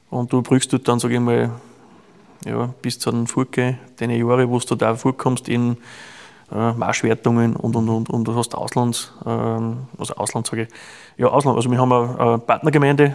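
In a plain, everyday voice, a man speaks at a fairly quick pace with a medium pitch. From Austria. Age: 30s. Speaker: chimney sweep and archer. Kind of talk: casual interview.

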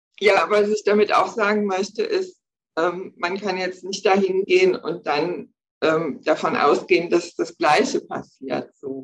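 A woman speaks at a fairly slow pace with a medium pitch. Her pitch variation is ordinary. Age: 60s. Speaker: breast cancer survivor, energy healer. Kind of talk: interview, personal testimony. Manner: hesitant, many fillers.

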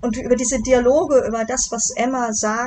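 Noticeable background noise accompanies a woman whose fairly high voice moves at a moderate pace. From Germany, Bonn (Rhineland). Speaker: novelist. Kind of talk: interview.

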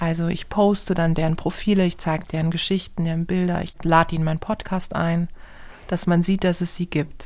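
A woman's fairly low-pitched, monotone, flat delivery at a fairly quick pace, in a very clean recording with a silent background. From southern Germany, Karlsruhe. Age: 30s. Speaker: entrepreneur. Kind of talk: interview answers for children. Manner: simple, friendly explanations.

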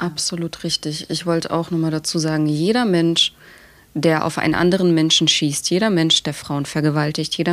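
This woman has an unremarkable speaking voice with a fairly low pitch. She talks at a moderate pace. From Germany, Dresden (Saxony). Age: 20s. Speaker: activist. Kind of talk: podcast interview.

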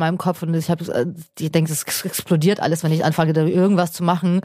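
A woman's dark, mellow tone, fairly low pitch and monotone, flat intonation at a fairly quick pace, in a very clean recording with a silent background. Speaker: podcast co-host, creative freelancer. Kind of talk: casual chat. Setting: studio.

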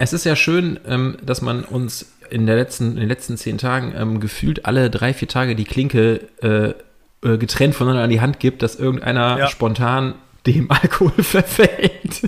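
At a fairly slow pace, a man with an unremarkable speaking voice talks at medium pitch with ordinary pitch variation. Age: 30s. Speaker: podcast co-host. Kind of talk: casual chat.

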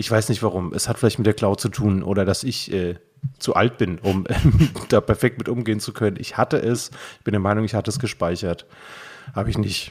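This man talks fairly quickly in a fairly low voice with ordinary pitch variation. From Frankfurt, Germany. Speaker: podcast host, poetry slammer. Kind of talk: casual chat. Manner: animated.

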